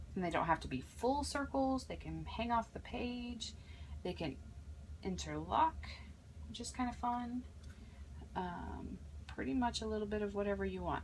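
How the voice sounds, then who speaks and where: A woman at a moderate pace with long, frequent pauses and audible room echo. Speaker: crafter. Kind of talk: tutorial. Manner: soft-spoken; casual, hesitant with fillers.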